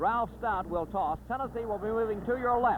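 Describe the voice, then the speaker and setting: With noticeable noise in the background, a man talks in a high voice. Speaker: sports broadcaster. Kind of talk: live basketball play-by-play. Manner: fast.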